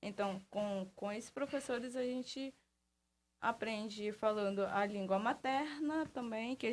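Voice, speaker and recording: Her pitch is fairly high, with ordinary variation. The woman talks at a fairly slow pace. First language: Baniwa (speaking Portuguese). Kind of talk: radio interview.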